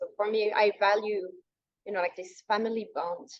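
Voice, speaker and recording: Fairly quick and fairly high-pitched, a woman speaks with a non-native accent. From Western country. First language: not English. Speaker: hypnotherapist. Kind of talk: podcast interview. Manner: halting, with many repetitions.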